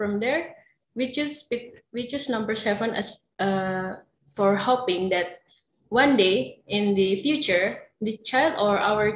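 Speaking at a very slow pace in an Indonesian accent, a woman with a fairly high pitch sounds somewhat breathy, with ordinary pitch variation. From Java, Indonesia. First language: Javanese. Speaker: researcher. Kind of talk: paper presentation. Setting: video call.

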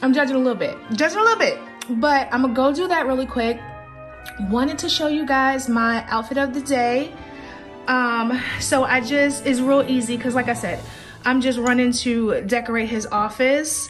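Faint music plays behind a woman with a high pitch. She speaks at a moderate pace with fairly even intonation. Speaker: lifestyle vlogger. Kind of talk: casual vlog chat. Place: home room. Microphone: phone near.

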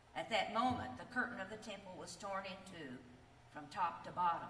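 A woman speaks at a moderate pace and a medium pitch, with ordinary pitch variation. Her tone is bright and sharp, and audible room echo surrounds her.

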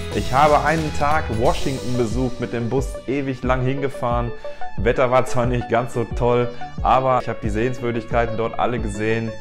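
A man's pitch varies in an ordinary way as he talks at a moderate pace, with clear music in the background. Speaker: travel vlogger. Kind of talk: casual vlog chat. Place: home room. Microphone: lapel.

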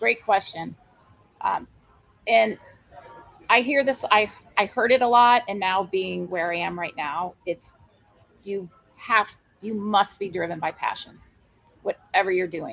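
A woman with an American accent speaks at a moderate pace and medium pitch, with lively intonation. Long, frequent pauses break up her speech against a quiet background. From Iowa. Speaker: brewery owner; interview guest. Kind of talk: interview. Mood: warm, enthusiastic. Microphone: video call.

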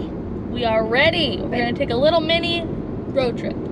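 A woman's voice comes through with a dry sound with no echo amid loud background noise. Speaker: vlogger. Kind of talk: casual vlog chat. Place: car. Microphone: camera far.

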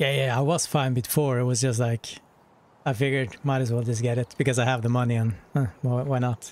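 A man at medium pitch talks fairly quickly with fairly even intonation and very even loudness, the sound dry with no echo. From northern Norway. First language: Norwegian. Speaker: gaming streamer. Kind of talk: casual chat. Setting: live stream. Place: home room.

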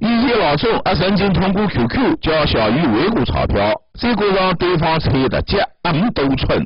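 A high-pitched man in a Zhejiang accent, with very wide pitch swings. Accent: Taizhou dialect. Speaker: TV news reporter. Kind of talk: TV news voice-over narration.

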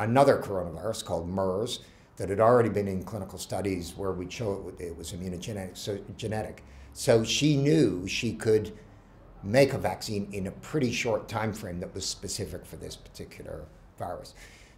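With big swings in loudness, a man talks at a fairly quick pace in a somewhat breathy, fairly low voice with ordinary pitch variation. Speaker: medical professor. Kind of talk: interview answer. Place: home room.

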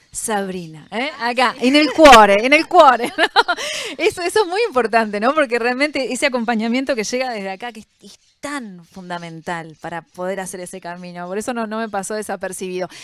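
A woman with a fairly high pitch talks at a fairly quick pace, her voice making very wide pitch swings and big swings in loudness, in a dry sound with no echo. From Uruguay. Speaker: panel moderator. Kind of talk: moderated panel discussion. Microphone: handheld.

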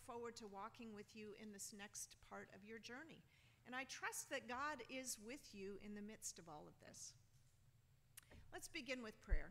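Her pace is fairly slow. This woman's pitch rises and falls across a very wide range. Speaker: bishop preaching. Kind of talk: sermon. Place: church.

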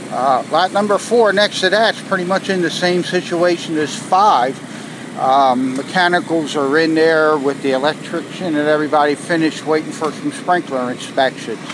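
A man speaks at a moderate pace with ordinary pitch variation and very even loudness, in a dry sound with no echo over noticeable background noise. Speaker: construction site manager. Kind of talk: progress update. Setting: outdoors at building site. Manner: casual, frequent fillers. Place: street. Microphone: phone near.

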